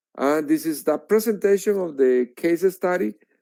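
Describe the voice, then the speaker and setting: A man with a Spanish accent is heard in a dry, close sound with no echo. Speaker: researcher. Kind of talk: lecture. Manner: halting.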